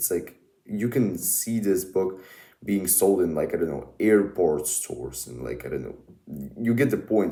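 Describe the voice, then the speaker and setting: A man with a Russian accent speaks in a dark, mellow tone with vocal fry. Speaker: book YouTuber. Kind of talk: casual monologue review. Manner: halting, many fillers.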